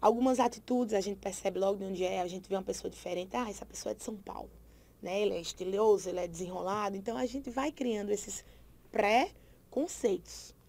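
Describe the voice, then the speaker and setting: A woman's dark, mellow voice at medium pitch, fairly quick, with ordinary pitch variation and vocal fry. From Brazil, Paraíba. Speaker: teacher. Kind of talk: lecture.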